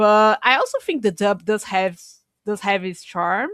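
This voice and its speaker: A woman with a Portuguese accent at a medium pitch and moderate pace, in a dry, close sound with no echo, on a very clean recording with a silent background. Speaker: podcast co-host. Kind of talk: casual chat.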